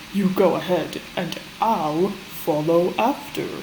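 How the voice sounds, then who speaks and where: Using a put-on character voice at a medium pitch, a woman speaks at a fairly slow pace over clear background noise. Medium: read story.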